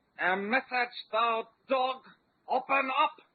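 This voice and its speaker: A put-on character voice speaks at a high pitch and a fairly slow pace. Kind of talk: archaic, blustery. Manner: gruff, gives orders.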